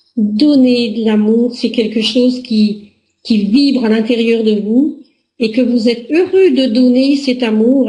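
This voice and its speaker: The voice has a dark, mellow tone and fairly even intonation at a fairly slow pace. Audible room echo can be heard. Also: woman. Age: 60s. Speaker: relationship coach. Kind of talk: personal presentation to camera.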